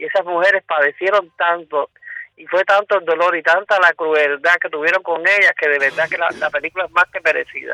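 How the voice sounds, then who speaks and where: A man with a high, bright, sharp voice talks at a fairly quick pace, his intonation fairly even but his loudness swinging a lot. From Cuba. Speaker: former political prisoner. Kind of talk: testimony.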